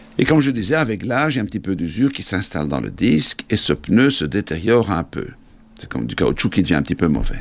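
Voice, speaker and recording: A man with a fairly low pitch and vocal fry speaks at a very fast pace, his pitch swinging very widely. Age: 50s. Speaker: orthopedic surgeon. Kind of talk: explanatory interview.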